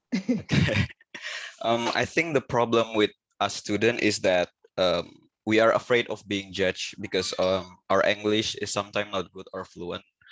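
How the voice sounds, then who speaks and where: A man's fairly low voice with an Indonesian accent, at a moderate pace and with fairly even intonation. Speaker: student. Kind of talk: Q&A question. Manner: halting.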